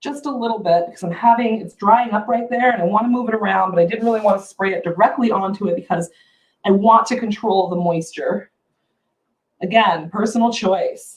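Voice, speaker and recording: Somewhat breathy and fairly high in pitch, a woman's voice shows big swings in loudness. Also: ordinary pitch variation, fairly quick pace. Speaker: furniture painter and brand ambassador. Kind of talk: live painting tutorial. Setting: livestream on social media. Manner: chatty, animated.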